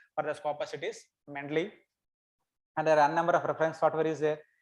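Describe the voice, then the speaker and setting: A man is talking here. His voice lands on the fairly high side. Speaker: academic researcher. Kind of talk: lecture.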